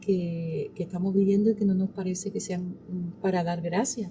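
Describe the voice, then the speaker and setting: A woman speaks with a dark, mellow tone that is somewhat breathy. She keeps a fairly slow pace. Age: 60s. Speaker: pastor. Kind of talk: interview.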